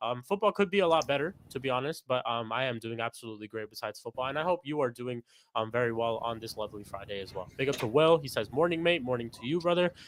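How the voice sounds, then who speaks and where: Very fast, lively delivery with hardly any pauses, in a dry, close sound with no echo. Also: man, medium pitch for a man. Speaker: football podcast host. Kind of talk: live stream chat.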